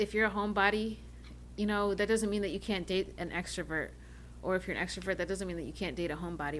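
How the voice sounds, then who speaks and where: A woman in an American accent, with vocal fry, at a very fast pace. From North Carolina, Charlotte. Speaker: podcast co-host. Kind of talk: casual chat.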